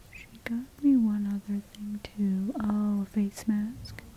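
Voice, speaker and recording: Soft-spoken and relaxed in tone, a woman talks at a medium pitch amid noticeable background noise. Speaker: ASMR hair play creator. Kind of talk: soft-spoken ASMR talk to camera. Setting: home environment. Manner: soft-spoken, relaxed, friendly.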